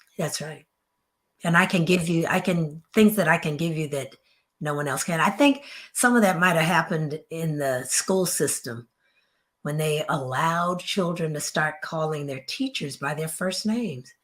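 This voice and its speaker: A woman speaks at a moderate pace, her somewhat breathy voice fairly low with ordinary pitch variation. The recording is very clean with a silent background. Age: old. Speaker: author and therapist. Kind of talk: interview.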